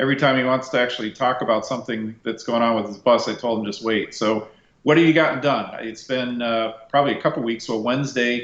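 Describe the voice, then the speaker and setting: A man at medium pitch, very fast pace, hardly any pauses and fairly even intonation. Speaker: DJ and bus restorer. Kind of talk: casual chat. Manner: loud, projecting. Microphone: echo reported.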